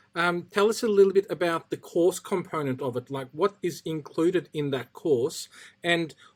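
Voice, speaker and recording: Moderate-paced speech in a non-native accent. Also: man. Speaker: podcast host. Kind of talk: podcast interview.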